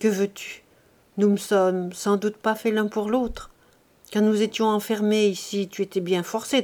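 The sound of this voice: The voice is an unforced reading voice whose intonation stays fairly even.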